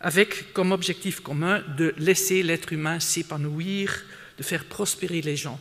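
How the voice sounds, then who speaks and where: Speaking very slowly with a non-native accent, a man uses a high pitch and ordinary pitch variation. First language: not French (speaking French). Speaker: conference speaker, sustainability expert. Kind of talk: conference talk. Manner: hesitant, many fillers and repetitions.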